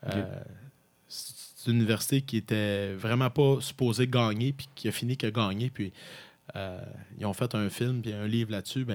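In an ordinary speaking voice, a man speaks at a moderate pace and medium pitch with fairly even intonation, on a very clean recording with a silent background. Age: 30s. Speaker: university football head coach. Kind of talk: interview.

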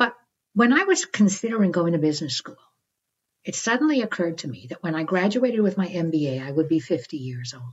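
A woman speaks at a fairly quick pace with a fairly low pitch and very wide pitch swings. Her voice is somewhat breathy, with big swings in loudness. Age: 60s. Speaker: psychologist and author. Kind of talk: interview.

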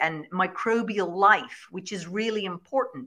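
Against a quiet background, a woman with an Irish accent speaks at medium pitch in a bright, sharp tone with ordinary pitch variation. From Ireland, Kilkenny. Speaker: shepherd and regenerative farmer. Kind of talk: interview.

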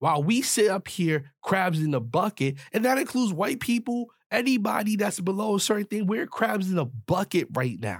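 This man talks in a high pitch with an animated tone, very wide pitch swings, and hardly any pauses. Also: moderate pace, dry, close sound with no echo. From US, grew up in the projects. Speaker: podcast host. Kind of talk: solo commentary monologue.

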